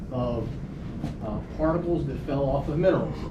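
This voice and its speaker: This man speaks with an American accent at a fairly high pitch. Room echo is audible, and there is noticeable background noise. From US South, Mississippi Gulf Coast. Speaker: agronomy instructor. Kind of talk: lecture. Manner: loud.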